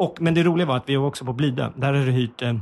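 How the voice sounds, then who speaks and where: His pitch is medium for a man and varies in an ordinary way. The man's speech has a somewhat breathy quality. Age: 40s. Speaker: comedy podcast host. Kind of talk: casual chat. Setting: small office.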